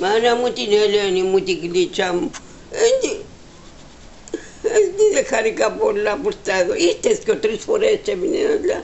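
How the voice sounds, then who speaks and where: With a Cypriot accent, a woman speaks at an extremely high pitch with very wide pitch swings, at a fairly slow pace with long, frequent pauses, over noticeable background noise. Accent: Cypriot Greek dialect. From Cyprus, Palaichori village. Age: 90s. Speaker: elderly interviewee. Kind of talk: oral history interview. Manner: halting, repetitive.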